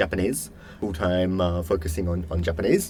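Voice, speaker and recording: Audible room echo hangs on this man's voice. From Western Australia, Perth. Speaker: podcast guest. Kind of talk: casual interview chat. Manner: hesitant, many fillers and repeats.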